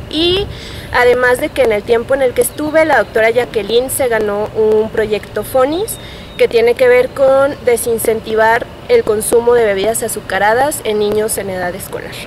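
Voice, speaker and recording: A woman speaks in a central Mexican accent at a fairly high pitch and moderate pace. Her pitch varies in an ordinary way, and background noise is noticeable. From Mexico, Guanajuato. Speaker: public health graduate student. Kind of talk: interview testimony.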